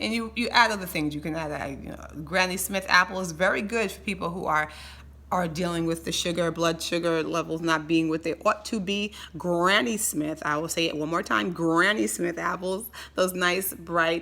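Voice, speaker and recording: Bright, sharp tone and an animated delivery with vocal fry and ordinary pitch variation. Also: woman, fairly low pitch for a woman. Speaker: health educator. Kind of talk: health tutorial. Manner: fast.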